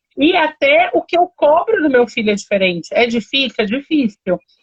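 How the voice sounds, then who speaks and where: Pitch rises and falls over a very wide range. The speaking pace stays moderate. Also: woman. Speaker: live stream host. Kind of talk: casual chat.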